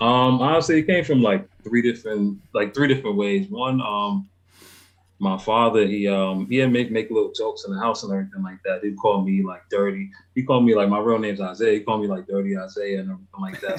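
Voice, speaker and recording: Speaking in a New York accent at a very fast pace, a man uses a fairly low pitch with ordinary variation. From New York, the Bronx. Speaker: hip hop artist. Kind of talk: interview. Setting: live stream call.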